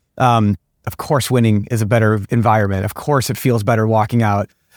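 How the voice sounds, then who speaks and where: Fairly even intonation marks this man's speech in an American accent. He talks at a very fast pace, with a dry, close sound and no echo. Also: very clean recording, silent background. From US Midwest, St. Louis. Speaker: sports club executive. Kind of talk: interview.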